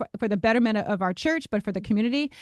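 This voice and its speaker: Over a quiet background, a woman with an American accent speaks with lively intonation, the sound dry and close with no echo. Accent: sounds Midwestern to locals. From Ohio, US Midwest. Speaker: singer and music educator. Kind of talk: casual interview chat.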